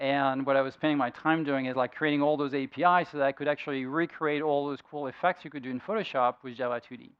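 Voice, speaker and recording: Speaking with a French accent at a very fast pace, a man keeps a fairly high pitch and fairly even intonation while his loudness swings a lot. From France. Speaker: software engineer and conference speaker. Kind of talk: tech talk presentation. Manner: halting, many fillers.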